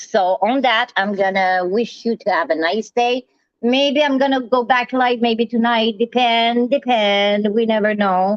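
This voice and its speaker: Loudness stays very even at a fairly slow pace, with ordinary pitch variation. The speaker has a Quebec accent. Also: woman. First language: French. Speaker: live streamer. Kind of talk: casual live stream monologue. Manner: animated.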